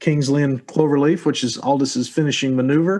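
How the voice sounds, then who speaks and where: Speaking with an American accent, a man uses a fairly high pitch and fairly even intonation. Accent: hillbilly. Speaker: podcast host. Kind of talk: casual chat.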